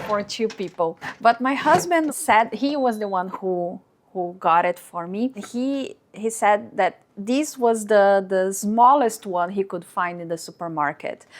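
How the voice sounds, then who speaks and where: In a Portuguese accent, a woman speaks very slowly with hardly any pauses, her fairly high pitch moving in lively intonation. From Brazil. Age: 40s. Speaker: lifestyle vlogger. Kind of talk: vlog narration.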